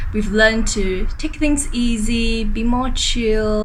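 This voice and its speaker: There is noticeable background noise and audible room echo. Through it, a woman talks with a Singaporean accent. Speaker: vlogger. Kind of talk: vlog narration.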